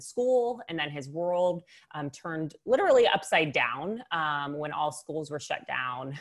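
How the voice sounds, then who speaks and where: A woman at a fairly slow pace, lively intonation, quiet background. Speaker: webinar host. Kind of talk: show host introduction. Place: home room. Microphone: earbuds.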